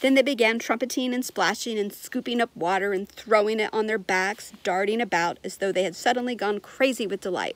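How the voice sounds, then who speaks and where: The woman speaks at a moderate pace. The sound is dry, without echo. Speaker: reader of a children's book. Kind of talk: storytelling read-aloud. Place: garden. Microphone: phone near.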